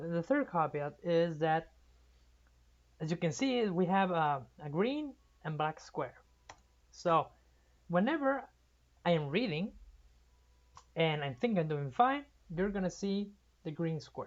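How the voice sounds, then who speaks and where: A woman's voice with a Spanish accent, very wide pitch swings, and long, frequent pauses. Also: fairly slow pace. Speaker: amateur reader of novels. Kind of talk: casual chat. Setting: livestream. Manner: halting.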